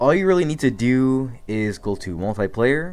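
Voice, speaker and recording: A man talks at medium pitch with lively intonation. The background is quiet. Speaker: gaming tutorial youtuber. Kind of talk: tutorial. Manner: fast; casual.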